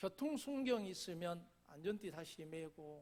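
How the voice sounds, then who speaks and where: With a Jeolla accent, a man speaks in a high pitch and with lively intonation. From South Jeolla, Korea (Gangjin countryside). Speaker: pastor. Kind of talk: sermon.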